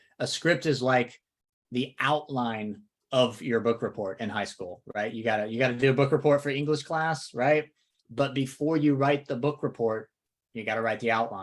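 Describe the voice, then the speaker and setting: Here a man has a Southern accent and a medium pitch. The recording is very clean, with a silent background. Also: ordinary pitch variation, moderate pace. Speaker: real estate coach. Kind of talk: podcast discussion.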